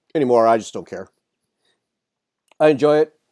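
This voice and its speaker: The sound is dry and close, with no echo. A man speaks at a moderate pace and medium pitch with lively intonation. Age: 60s. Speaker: podcast host. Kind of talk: casual chat.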